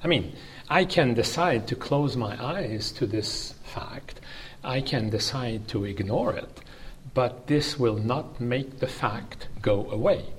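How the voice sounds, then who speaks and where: A man speaks at a medium pitch and a very slow pace, with ordinary pitch variation. Noticeable background noise runs under his voice. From Canada. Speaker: law professor. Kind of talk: academic interview. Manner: formal.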